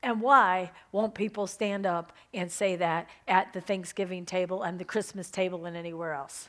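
A woman of medium pitch with an ordinary speaking voice talks at a moderate pace with fairly even intonation and hardly any pauses, in a very clean recording with a silent background. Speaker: pastor. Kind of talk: sermon.

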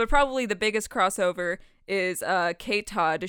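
Very clean recording, silent background, and a woman with an unremarkable speaking voice. She talks at medium pitch and a moderate pace with ordinary pitch variation. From Canada. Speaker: podcast co-host. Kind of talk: casual chat.

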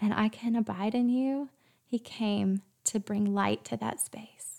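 A woman's fairly high voice with a Southern US accent, on a very clean recording over a silent background. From US South. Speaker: podcast host. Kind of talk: devotional talk. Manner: animated.

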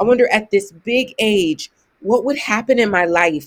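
With an American accent, a woman speaks at a fairly slow pace in an unremarkable speaking voice with lively intonation. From US Midwest (Ohio). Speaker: author and spiritual educator. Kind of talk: casual interview conversation.

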